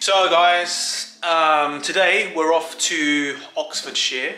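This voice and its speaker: Faint music plays in the background while a man speaks with audible room echo. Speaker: vlogger husband. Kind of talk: casual vlog chat. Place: home room. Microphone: phone near.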